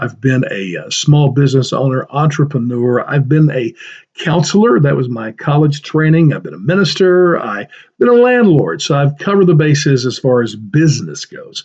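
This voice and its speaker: The man's voice sits fairly high and sounds somewhat breathy. He talks at a moderate pace with lively intonation. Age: 60s. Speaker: political podcaster. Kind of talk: solo podcast commentary. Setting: home office library. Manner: casual, conversational.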